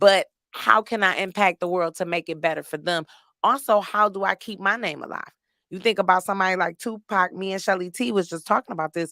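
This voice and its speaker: In a very clean recording with a silent background and a dry, close sound with no echo, a woman at medium pitch speaks at a fairly quick pace in a bright, sharp and animated tone, with big swings in loudness and ordinary pitch variation. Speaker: podcast host and comedian. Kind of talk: casual chat.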